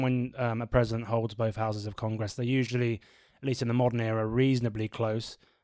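Recorded very cleanly against a silent background, a man with a British accent speaks at a medium pitch and a fairly quick pace. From Britain. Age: 30s. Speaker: podcast host, pollster. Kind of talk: casual political discussion.

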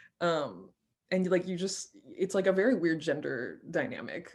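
A woman speaks with a fairly low pitch and vocal fry. Her intonation is lively. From France. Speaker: podcast host, film researcher. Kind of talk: casual discussion.

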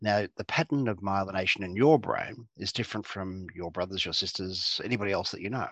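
Against a quiet background, a man with an Australian accent speaks at a fairly quick pace and fairly low pitch, with ordinary pitch variation and hardly any pauses. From Australia, Geelong, Victoria. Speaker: clinical psychologist. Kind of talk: interview.

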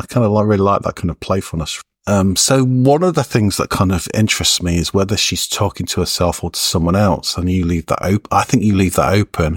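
A man talks at a fairly quick pace in an unremarkable speaking voice. His pitch is fairly low, with ordinary variation. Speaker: podcast host; poet and university lecturer. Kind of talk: interview conversation. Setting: office.

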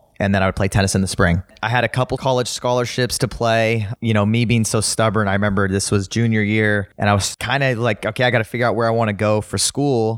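In a Southern California accent, the speaker races along at a very fast pace with very even loudness and hardly any pauses. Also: man, fairly low pitch for a man, dry, close sound with no echo. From Los Angeles, San Fernando Valley. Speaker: tennis and pickleball coach and pro player. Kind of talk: casual interview. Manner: animated.

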